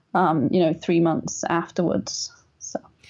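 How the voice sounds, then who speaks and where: In an English accent, a woman talks at a moderate pace with a fairly low pitch, ordinary pitch variation and some vocal fry. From England. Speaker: writer, designer and caregiver. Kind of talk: interview.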